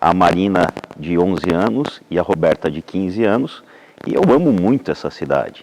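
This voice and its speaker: Lively intonation marks a man's very deep, low voice as he speaks at a moderate pace. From Santa Catarina, southern Brazil. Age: 40s. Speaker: speech therapist and public health coordinator. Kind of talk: interview.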